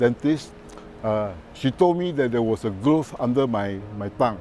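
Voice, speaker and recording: Using lively intonation, a man speaks at a moderate pace with a medium pitch. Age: 60s. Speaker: cancer patient, professor. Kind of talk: testimony. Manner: halting.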